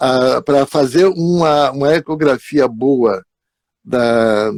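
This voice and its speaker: A man's fairly high voice with ordinary pitch variation, in a dry, close sound with no echo. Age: 80s+. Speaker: psychologist. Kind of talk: live stream talk.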